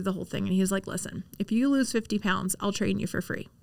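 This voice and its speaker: A woman talks in a normal speaking voice. Her pitch varies in an ordinary way. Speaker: real estate agent. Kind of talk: interview.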